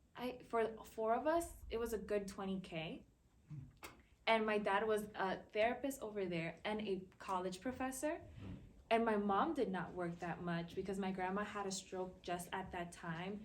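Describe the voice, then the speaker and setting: A woman with an American accent, ordinary pitch variation and audible room echo. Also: medium pitch for a woman, moderate pace. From Dominican Republic and US. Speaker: university student, panelist. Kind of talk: personal testimony on a panel.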